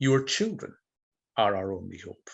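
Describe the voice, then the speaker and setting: Speaking with a Scottish Highland accent, a man at a medium pitch moves through very wide pitch swings. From Scotland, Inverness (Highlands). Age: 60s. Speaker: school principal. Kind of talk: talk to a video-call audience, then Q&A; Q&A answer. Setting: video call. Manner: rhetorical, measured; hesitant.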